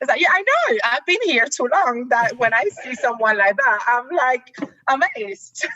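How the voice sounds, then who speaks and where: Projecting a raised, high-pitched voice with lively intonation, a woman speaks in a Puerto Rican accent at a moderate pace over noticeable background noise. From Puerto Rico, south (near Ponce). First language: Spanish. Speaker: activist and actress. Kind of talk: casual interview chat. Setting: video call.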